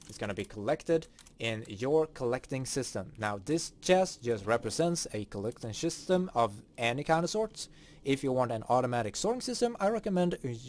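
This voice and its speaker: Speaking at a fairly quick pace with a Swedish accent, a man makes very wide pitch swings. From Sweden. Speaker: gaming streamer. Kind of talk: tutorial.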